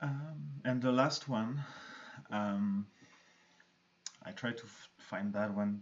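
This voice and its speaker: Speaking very slowly, a man has a strong non-native accent. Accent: thick foreign. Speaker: arts centre host. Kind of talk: live-stream interview chat.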